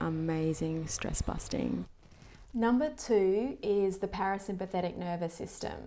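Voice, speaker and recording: A soft-spoken woman talks at a fairly slow pace. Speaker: doctor and wellness educator. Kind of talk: tutorial. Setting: day spa float room.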